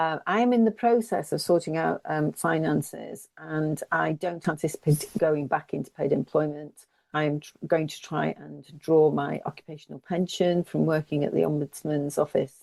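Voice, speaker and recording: A woman's very deep, low voice in an English accent, dark and mellow, with big swings in loudness, ordinary pitch variation, a moderate pace and a dry, close sound with no echo. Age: 60s. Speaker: climate campaigner. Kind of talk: interview. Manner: hesitant.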